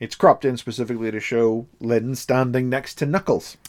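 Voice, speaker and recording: A man with a Derry accent talks at a fairly quick pace on a very clean recording with a silent background. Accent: Northern Irish (Derry). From Northern Ireland, Derry. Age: 40s. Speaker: podcast co-host. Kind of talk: casual chat. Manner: animated.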